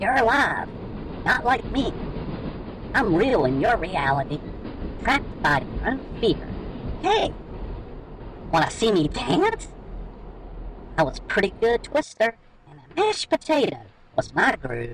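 A squeaky put-on character voice, fairly high in pitch, with long, frequent pauses. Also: moderate pace. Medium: read story.

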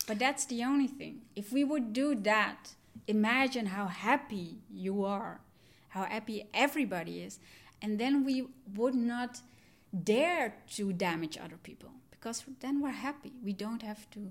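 In a very clean recording with a silent background, a woman speaks fairly slowly at a fairly high pitch, somewhat breathy, with ordinary pitch variation and big swings in loudness. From Netherlands, south Limburg (adopted from Sri Lanka at three). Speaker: psychologist and coach. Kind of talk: interview.

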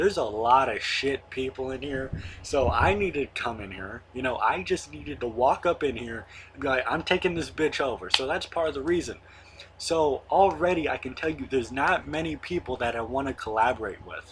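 At a moderate pace, a man uses a normal speaking voice of medium pitch with lively intonation. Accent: American. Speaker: YouTuber and wrestling commentator. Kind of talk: casual video monologue about wrestling. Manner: casual, rambling, chatty.

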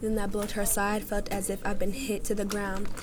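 An intense, monotone woman's voice with flat intonation over noticeable background noise. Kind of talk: spoken word poetry performance. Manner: emotionally charged, rhythmic, intense; earnest, pleading, comforting.

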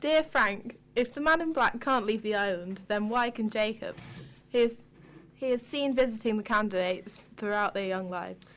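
Against a quiet background, a woman uses a plain, everyday voice at a fairly high pitch. Her pace is moderate, with ordinary pitch variation. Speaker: co-host. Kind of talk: casual chat.

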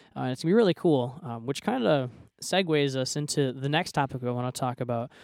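The recording is very clean with a silent background as a man talks at a fairly quick pace, at medium pitch with ordinary pitch variation. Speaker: college student podcast co-host. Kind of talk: casual chat.

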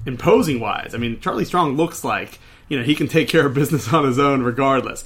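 With an American accent and a normal speaking voice, a man talks at a fairly quick pace and a fairly high pitch, with ordinary pitch variation. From Pittsburgh, Pennsylvania. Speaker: college football podcast co-host. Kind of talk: casual sports chat.

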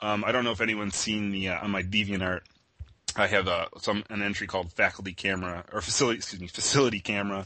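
The delivery comes at a very fast pace. Its intonation stays fairly even. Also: man, fairly low pitch for a man. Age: 30s. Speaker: internet artist, creator of a horror meme. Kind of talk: casual interview.

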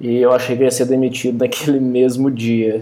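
Here a man talks at a fairly slow pace. His pitch sits in the medium range. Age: 30s. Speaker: software company co-founder. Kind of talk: casual chat.

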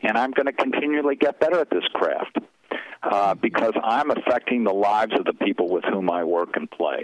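A man with an American accent at a fairly quick pace over noticeable background noise. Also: very even loudness, dry, close sound with no echo. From US Midwest, Chicago. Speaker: former corporate CEO. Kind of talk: interview. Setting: phone call.

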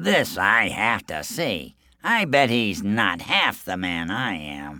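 On a very clean recording with a silent background, a man uses a put-on character voice with a bright, sharp tone, a fairly low pitch, big pitch swings and a slow pace.

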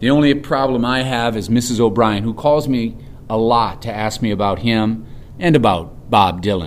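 Ordinary pitch variation in plain reading aloud

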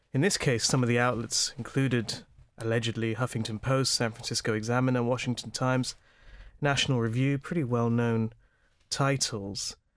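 A plain, everyday voice belonging to a man, mid-pitched, fairly level in intonation, at a medium tempo. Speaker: podcast host. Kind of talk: podcast hosting, news discussion.

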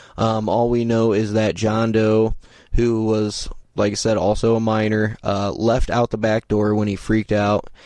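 A man with a Midwestern American accent speaks at a moderate pace in a fairly low pitch, his intonation monotone and flat. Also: very even loudness. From Indiana, US Midwest. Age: 30s. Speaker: podcast host. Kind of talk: unscripted true-crime narration. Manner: casual with many fillers.

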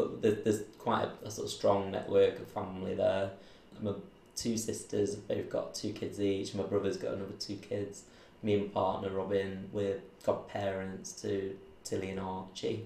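With a Mancunian accent, a man talks at a moderate pace amid audible room echo. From Manchester, England. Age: 30s. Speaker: recruitment business owner. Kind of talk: oral history interview.

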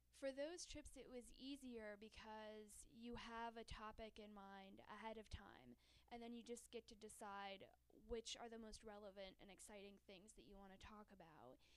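A woman's plain, everyday voice, fairly high-pitched, at a moderate pace with an American accent. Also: ordinary pitch variation. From New York. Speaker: travel writer. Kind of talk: radio interview.

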